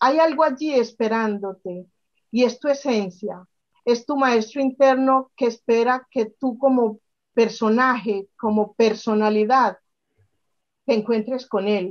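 A woman's fairly high voice at a very slow pace, with ordinary pitch variation and a quiet background. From Colombia, Medellín. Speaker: spiritual workshop instructor. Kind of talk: interview conversation. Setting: video call. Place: home room. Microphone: webcam.

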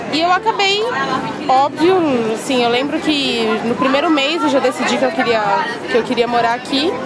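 Amid loud background noise, a woman speaks at a moderate pace with long, frequent pauses, the sound dry with no echo. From São Paulo, Brazil. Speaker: interviewee. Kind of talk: interview answer. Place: waterside.

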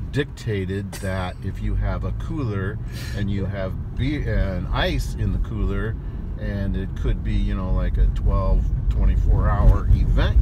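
The sound is dry with no echo as a man speaks at a fairly slow pace over loud background noise. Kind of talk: casual vlog chat. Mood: joking, playful storytelling. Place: car. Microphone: phone near.

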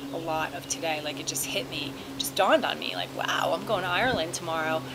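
A woman talks at a very fast pace. Noticeable background noise sits behind her. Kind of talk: casual vlog chat. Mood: excited, emotional. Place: garden. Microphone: phone near.

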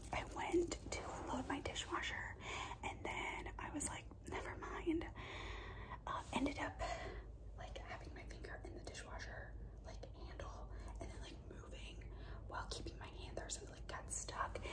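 There are long, frequent pauses as a woman speaks. Loud background noise runs beneath her voice. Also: moderate pace. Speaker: vlogger. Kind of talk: casual ASMR vlog chat. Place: home room. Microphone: phone near.

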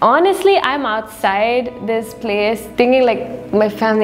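The pace is fairly slow, with ordinary pitch variation. Faint music plays in the background. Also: woman. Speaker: vlogger narrating a trip. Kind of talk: casual vlog storytelling. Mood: animated, reflective.

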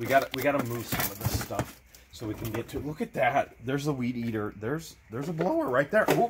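A man at medium pitch has a husky, rough edge. He goes at a fairly quick pace with lively intonation.

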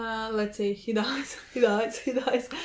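The woman talks at a fairly slow pace. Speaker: reaction video host. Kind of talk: casual discussion of a TV episode. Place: home room. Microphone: camera far.

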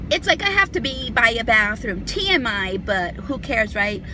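At a very slow pace, a woman speaks in a dry sound with no echo, with noticeable background noise. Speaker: beauty vlogger. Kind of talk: casual vlog chat. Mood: chatty, confiding, humorous. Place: car. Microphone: phone near.

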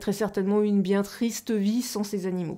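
The background is quiet. A woman speaks in a dark, mellow tone with fairly even intonation. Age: 40s. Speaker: aquarium hobby YouTuber; aquarium hobby streamer. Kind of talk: live stream chat with viewers. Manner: hesitant, many fillers. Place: home room. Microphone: new microphone; studio mic.

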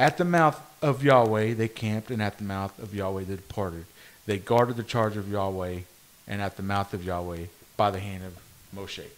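A fairly low man's voice at a moderate pace, with big swings in loudness and ordinary pitch variation. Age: 30s. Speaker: podcast host. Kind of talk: casual chat. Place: meeting room. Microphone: studio mic.

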